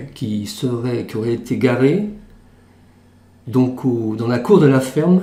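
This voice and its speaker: A man with a medium pitch and a dark, mellow tone speaks very slowly, somewhat breathy, with lively intonation. Audible room echo surrounds his voice. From western France, Charente-Maritime. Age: 60s. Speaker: retired banker. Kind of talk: testimony.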